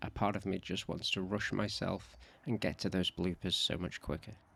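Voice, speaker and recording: Very deep and low, the man's voice carries vocal fry. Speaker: travel vlogger narrating audio description. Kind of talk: scripted narration.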